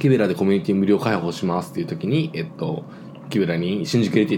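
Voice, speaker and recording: Speaking at a very fast pace, a man at a medium pitch makes very wide pitch swings. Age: 20s. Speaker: podcast host and server-side engineer. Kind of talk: casual chat. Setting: home recording with drinks.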